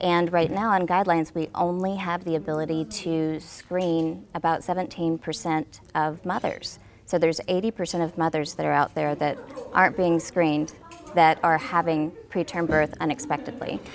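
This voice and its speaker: In an American accent, a woman uses an ordinary speaking voice, fairly low in pitch, with ordinary pitch variation at a moderate pace. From Arkansas, US South. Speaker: healthcare company executive. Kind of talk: casual interview.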